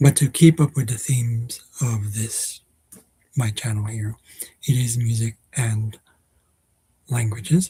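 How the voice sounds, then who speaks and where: Dry and close with no echo, this man's voice has a dark, mellow tone, medium pitch and a somewhat breathy quality. His pitch varies in an ordinary way, and he leaves long, frequent pauses. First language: not Dutch (learner of Dutch). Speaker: vlogger. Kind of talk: casual vlog monologue. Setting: at home. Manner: hesitant, many fillers.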